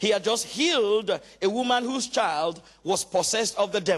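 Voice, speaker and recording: Lively intonation from a man with a high pitch at a moderate pace. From Nigeria. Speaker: pastor. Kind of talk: sermon. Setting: church.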